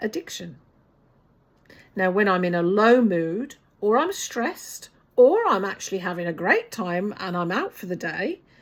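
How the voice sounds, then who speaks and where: A woman with a New Zealand accent speaks at a fairly slow pace and medium pitch, with ordinary pitch variation. She takes long, frequent pauses. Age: 60s. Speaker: vlogger. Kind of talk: personal vlog talk to camera.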